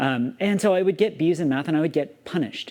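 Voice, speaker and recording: With an American accent, a man talks at a fairly quick pace in a high pitch with lively intonation. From US South. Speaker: YouTuber. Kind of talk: personal vlog monologue. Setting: alone talking to camera. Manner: animated.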